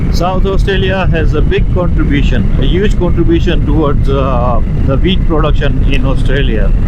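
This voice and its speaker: Moderately paced speech with hardly any pauses, over noticeable background noise. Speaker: motorcycle vlogger. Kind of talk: casual vlog narration while riding. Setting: outdoors on a motorcycle. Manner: hesitant, with filler words.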